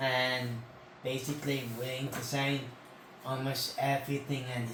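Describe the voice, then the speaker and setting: There is noticeable background noise and audible room echo. A man speaks at medium pitch in a flat monotone. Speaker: convention-going channel host. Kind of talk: casual chat.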